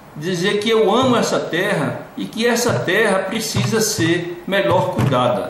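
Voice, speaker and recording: A man speaks at a high pitch. There is noticeable background noise. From Brazil, western Bahia. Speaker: local political candidate. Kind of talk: interview.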